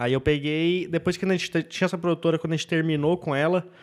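Speaking very fast with a southern Brazilian accent, a man's fairly high voice comes through a very clean recording with a silent background. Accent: gaúcho Brazilian Portuguese. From southern Brazil, Rio Grande do Sul. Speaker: stand-up comedian. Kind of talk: casual interview chat.

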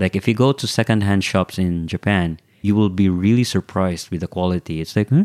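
A man's very deep, low voice at a fairly quick pace with hardly any pauses and ordinary pitch variation, dry and close with no echo, in a very clean recording with a silent background. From Philippines. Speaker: returning overseas worker. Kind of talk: casual chat.

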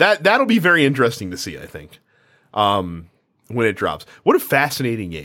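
A man at medium pitch with a bright, sharp tone and vocal fry, very wide pitch swings, big swings in loudness and a moderate pace. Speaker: podcast host. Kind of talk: casual chat about video games.

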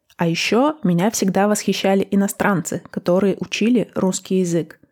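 The voice belongs to a woman at medium pitch. Its tone is dark and mellow. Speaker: language-learning podcast host. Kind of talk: scripted podcast trailer. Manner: clear, deliberate pace for learners.

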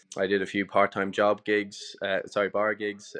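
This is a man with a north Leinster accent. His pitch sits fairly low. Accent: Irish (north Leinster). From Ireland, Dundalk (County Louth). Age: 30s. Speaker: cafe and restaurant owner. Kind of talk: interview. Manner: casual, frequent repetitions and fillers.

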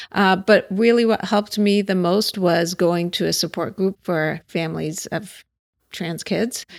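A woman with an American accent and an unremarkable speaking voice, medium pitch, fairly even intonation and a fairly slow pace, on a very clean recording with a silent background. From Pittsburgh, Pennsylvania. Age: 40s. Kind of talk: casual interview. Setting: at her home.

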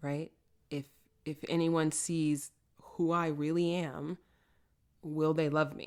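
Very deep, low pitch from a woman with an American accent, monotone and flat, at a very slow pace with long, frequent pauses. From New York City, the Bronx. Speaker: podcast host, love coach. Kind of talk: casual interview conversation.

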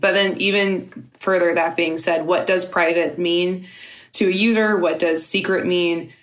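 This woman talks at a fairly low pitch, with audible room echo in the recording. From Louisiana. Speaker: digital security researcher. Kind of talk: interview.

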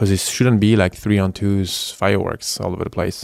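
In a French accent, a man speaks at a moderate pace with monotone, flat intonation, his dry, close sound carrying no echo on a very clean recording with a silent background. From France, Paris suburb. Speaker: professional hockey player. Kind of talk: interview. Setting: in-person in Paris.

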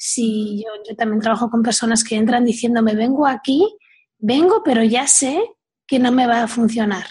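A woman speaks at a moderate pace with a fairly high-pitched voice. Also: fairly even intonation. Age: 40s. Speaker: weight coach. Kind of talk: interview conversation. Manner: hesitant, repeats words.

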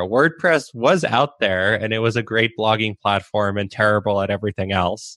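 A man with a plain, everyday voice at a medium pitch and moderate pace, in a dry, close sound with no echo against a quiet background. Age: 30s. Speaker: web agency owner. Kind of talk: interview.

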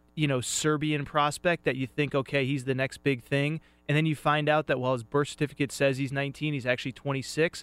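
A voice with an American accent has a dry, close sound with no echo, with music in the background. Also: man. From US Northeast. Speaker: sports radio co-host. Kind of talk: sports talk radio. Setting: studio.

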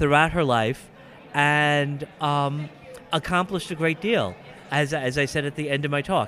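This is a normal speaking voice at a fairly slow pace. Its pitch varies in an ordinary way. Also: man, fairly high pitch for a man. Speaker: physics professor and convention guest of honor. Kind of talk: interview.

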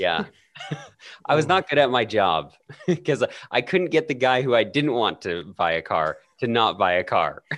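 At a moderate pace and medium pitch, a man speaks with vocal fry and very wide pitch swings, leaving long, frequent pauses. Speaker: podcaster, podcast guest. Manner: casual, joking.

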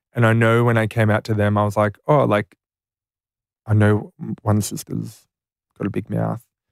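A man with an Australian accent talks at a moderate pace in a fairly low, monotone voice, pausing long and often, on a very clean, silent-background recording with a dry, close sound and no echo. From rural New South Wales, Australia. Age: 20s. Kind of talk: casual interview. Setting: studio.

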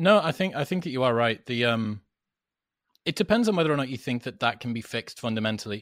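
A man with a British accent at a very fast pace with lively intonation, on a very clean recording with a silent background. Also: medium pitch for a man. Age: 30s. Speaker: podcaster, former club promoter. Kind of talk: casual interview chat.

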